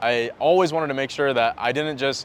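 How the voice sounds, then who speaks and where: At a fairly quick pace, a man with an American accent uses a normal speaking voice with ordinary pitch variation. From mixed: Japan, then United States from first grade. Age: 20s. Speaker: sales coach. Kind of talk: personal story monologue to camera. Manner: casual, conversational.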